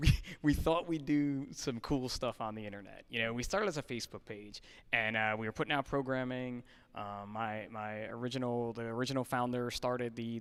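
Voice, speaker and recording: Speaking at a fairly quick pace with a New Jersey accent, a man keeps his medium-pitched voice in fairly even intonation on a very clean recording with a silent background. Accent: New Jersey American. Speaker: fitness nonprofit organizer. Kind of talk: podcast interview.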